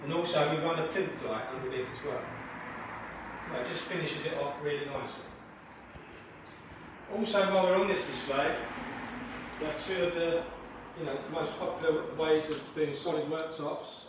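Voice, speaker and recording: A speaker goes at a moderate pace with long, frequent pauses and fairly even intonation. Strong room echo and noticeable background noise fill the recording. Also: man. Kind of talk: guided tour explanation. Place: shop.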